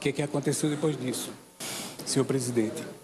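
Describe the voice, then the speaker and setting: A man's voice over noticeable background noise. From Paraíba backlands, Brazil. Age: 60s. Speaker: call center employee. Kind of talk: personal testimony speech. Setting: inauguration ceremony with audience.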